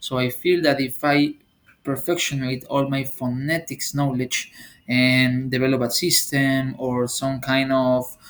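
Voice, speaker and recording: A man with a Spanish accent speaks at a medium pitch and a fairly slow pace. His intonation is monotone and flat, and his loudness stays very even. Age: 20s. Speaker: university student and English teacher. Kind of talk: class presentation.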